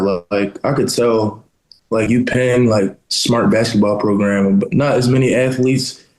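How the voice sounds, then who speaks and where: At a moderate pace, a man talks in an unremarkable speaking voice at medium pitch. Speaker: college basketball player. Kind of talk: casual interview.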